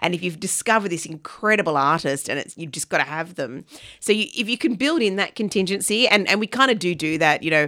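At a very fast pace, a woman with an Australian accent speaks at medium pitch with a bright, sharp tone and lively intonation, on a very clean recording with a silent background. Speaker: arts festival director. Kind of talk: radio interview.

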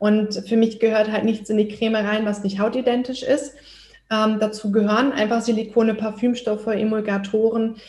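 At a moderate pace, a woman speaks with monotone, flat intonation. Her fairly high voice is somewhat breathy. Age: 30s. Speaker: skin health practitioner. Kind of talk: podcast interview.

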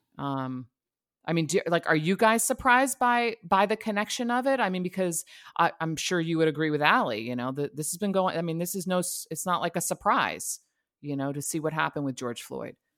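This woman's fairly low voice swings very widely in pitch as she speaks at a fairly quick pace. The recording is very clean and the background silent. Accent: American. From New Jersey, then North Carolina. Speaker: podcast host. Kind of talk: interview.

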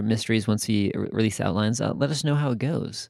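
Here a man with an American accent and an ordinary speaking voice goes at a fairly quick pace with lively intonation, on a very clean recording with a silent background. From Michigan. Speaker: podcast co-host. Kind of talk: casual chat.

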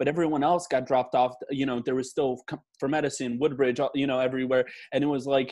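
A man with a New Jersey accent, medium in pitch, rattling along very fast in a flat monotone. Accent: New Jersey American. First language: Polish. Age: 20s. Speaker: aspiring chef. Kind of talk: casual chat.

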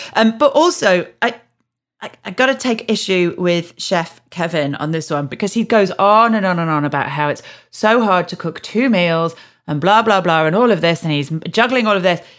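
A woman with a Yorkshire accent speaks at a moderate pace and medium pitch, her intonation lively. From Yorkshire, England. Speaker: podcast host. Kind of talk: casual chat.

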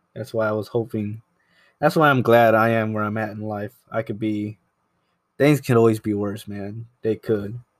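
In a very clean recording with a silent background, a soft-spoken man talks at a fairly low pitch with fairly even intonation. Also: moderate pace. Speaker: podcast host, photographer. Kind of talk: casual solo monologue. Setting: home apartment. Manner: soft-spoken, mellow; halting, searching for words.

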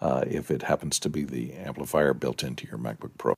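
This man speaks at a moderate pace with vocal fry. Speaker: panelist. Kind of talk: casual chat. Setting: video call.

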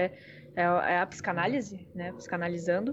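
A woman with an ordinary speaking voice talks at a moderate pace, fairly low in pitch, with ordinary pitch variation. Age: 20s. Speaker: psychoanalyst. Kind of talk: casual chat.

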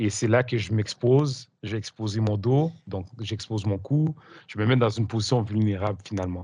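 Dark, mellow-toned man, fairly low pitch, somewhat breathy, ordinary pitch variation, quiet background. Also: moderate pace. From Quebec. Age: 40s. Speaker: coach and hypnosis teacher. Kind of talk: interview.

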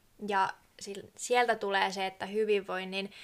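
In a very clean recording with a silent background, a woman talks at a fairly slow pace and medium pitch. Her tone is bright and sharp, her intonation monotone and flat. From southern Finland, Kiikoinen. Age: 20s. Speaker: podcast co-host, tourism student. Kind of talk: casual chat.

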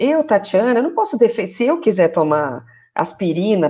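Over a quiet background, a woman talks at a fairly high pitch with a dark, mellow tone and very wide pitch swings. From Brazil, São Paulo area. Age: 40s. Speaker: journalist and journalism lecturer. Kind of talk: interview in a live video stream. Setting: online live stream.

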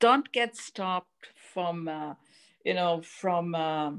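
A woman talks at a very slow pace in a very clean recording with a silent background. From Mozambique and Lisbon, Portugal. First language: Portuguese. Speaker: marketing and technology professional. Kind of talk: interview.

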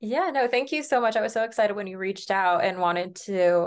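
With an American accent and a plain, everyday voice, the speaker goes at a fairly quick pace with ordinary pitch variation against a quiet background. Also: woman. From US Midwest, Branson, Missouri. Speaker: singer-songwriter. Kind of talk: casual interview.

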